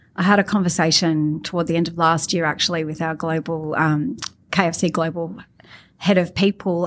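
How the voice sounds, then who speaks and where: A woman speaks with an Australian accent. The recording is very clean with a silent background. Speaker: marketing executive. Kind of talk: interview.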